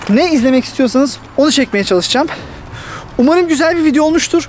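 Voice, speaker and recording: Noticeable background noise sits behind a man who speaks at a fairly quick pace with lively intonation and an extremely high pitch. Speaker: YouTuber giving migration advice. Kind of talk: casual vlog talk to camera. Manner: fast.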